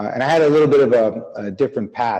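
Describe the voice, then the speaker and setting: With a dark, mellow tone, a man speaks at a fairly quick pace. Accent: Chicago. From US Midwest, Chicago suburbs. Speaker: business founder. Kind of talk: podcast interview.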